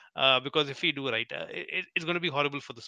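Pitched fairly high, a man speaks with an Indian accent. His intonation stays fairly even. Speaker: podcast host. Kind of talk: interview chat.

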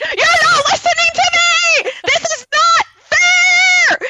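In a put-on character voice pitched extremely high, someone shouts at a very slow pace. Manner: screaming, ranting.

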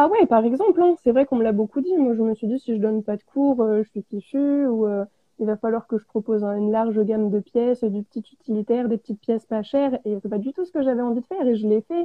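A woman talks at a very fast pace with hardly any pauses. Her pitch sits fairly high. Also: ordinary pitch variation. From France, Auvergne. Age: 20s. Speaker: ceramic artist. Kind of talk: live interview. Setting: online live stream.

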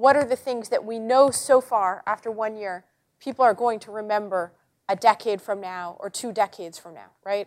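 Using an ordinary speaking voice, a woman talks at a moderate pace and fairly high pitch with big swings in loudness, on a very clean recording with a silent background and a dry, close sound with no echo. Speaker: journalist and columnist. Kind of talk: panel talk. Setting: auditorium with live audience. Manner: humorous, conversational.

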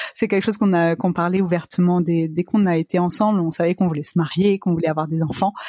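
A woman talks at a very fast pace with hardly any pauses and fairly even intonation. Her loudness stays very even, and the sound is dry and close with no echo but noticeable background noise. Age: 30s. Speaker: business manager sharing fertility journey. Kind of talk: interview testimony.

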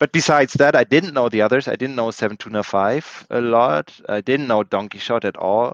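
A man with a German accent speaks at a fairly quick pace. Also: medium pitch for a man, ordinary pitch variation, hardly any pauses, dry, close sound with no echo, quiet background. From Germany. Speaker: board game tournament champion. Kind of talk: casual interview.

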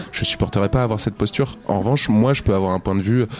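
Over music in the background, a man talks at a fairly quick pace and medium pitch with ordinary pitch variation. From Lower Normandy, France. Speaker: singer-songwriter. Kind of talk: interview.

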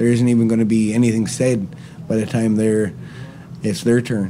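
Noticeable background noise beneath a man's fairly low-pitched voice. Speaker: land defender. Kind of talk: interview. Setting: outdoors at a concert.

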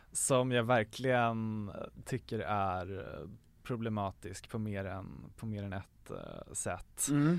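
A man speaks at a very slow pace with ordinary pitch variation on a very clean recording with a silent background. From Sweden, Gävle. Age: 20s. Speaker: podcast guest. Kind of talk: casual chat.

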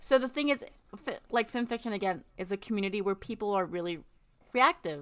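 A woman with a normal speaking voice, fairly high in pitch, at a fairly quick pace with lively intonation. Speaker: writer. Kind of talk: casual chat.

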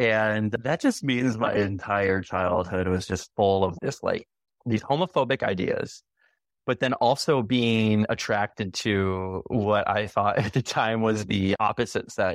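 In an ordinary speaking voice, a man with an American accent talks at a fairly slow pace and fairly low pitch, with ordinary pitch variation, very even loudness, a quiet background and a dry, close sound with no echo. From US Midwest, Chicago area. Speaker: former university student. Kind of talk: interview.

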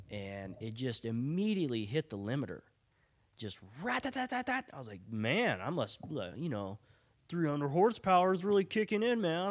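A man at a moderate pace with very wide pitch swings, on a very clean recording with a silent background. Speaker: podcast host, car enthusiast, Navy veteran. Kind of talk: casual solo monologue. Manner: rambling with frequent fillers.

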